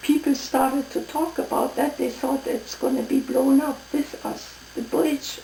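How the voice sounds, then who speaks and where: Over noticeable background noise, a woman with a German accent speaks fairly slowly in a high voice with fairly even intonation. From East Prussia, Germany. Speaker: WWII refugee. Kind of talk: oral history interview answer. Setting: at home.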